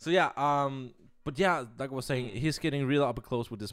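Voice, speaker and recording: A man talks at a fairly quick pace in a Danish accent. The recording is very clean, with a silent background. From Denmark. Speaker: podcast co-host and editor. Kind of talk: casual chat.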